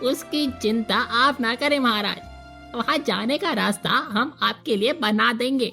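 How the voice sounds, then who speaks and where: Over clear background music, a female-sounding cartoonish character voice with a high pitch speaks at a fairly slow pace. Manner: teasing, cheeky.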